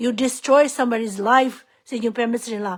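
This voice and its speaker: With a Tibetan accent, a woman speaks at a high pitch and a moderate pace with fairly even intonation, on a very clean recording with a silent background. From Tibetan refugee community. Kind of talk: impassioned public appeal. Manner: emotional, pleading.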